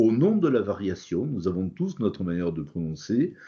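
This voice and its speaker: In a slight Toulouse accent, a man speaks at a very slow pace. His fairly low pitch moves in very wide swings. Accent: slight southern French (Toulouse). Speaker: phonetics teacher, linguist. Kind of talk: interview. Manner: hesitant, many fillers.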